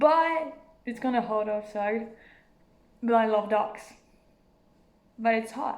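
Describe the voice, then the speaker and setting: A woman with a French accent, fairly high pitch and lively intonation, at a very slow pace, with audible room echo. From France. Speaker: vlogger. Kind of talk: casual vlog. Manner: halting.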